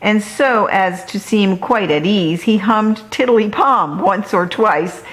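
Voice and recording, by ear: Natural-voiced reading aloud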